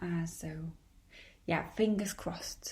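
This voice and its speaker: A woman with a Polish accent speaks at a fairly slow pace with ordinary pitch variation. Her voice is somewhat breathy, with a dark, mellow tone. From Poland. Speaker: podcaster. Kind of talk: podcast monologue. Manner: hesitant.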